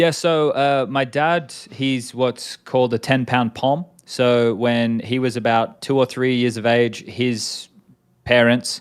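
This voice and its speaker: A man talks in an Australian accent at a very slow pace. His loudness stays very even. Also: medium pitch for a man, fairly even intonation. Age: 30s. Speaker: esports commentator and former player. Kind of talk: casual interview.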